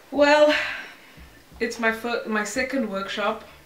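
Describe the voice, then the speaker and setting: Fairly slow delivery from a woman, ordinary pitch variation, audible room echo and noticeable background noise. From South Africa, Mpumalanga (Middelburg). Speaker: teacher. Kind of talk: casual interview.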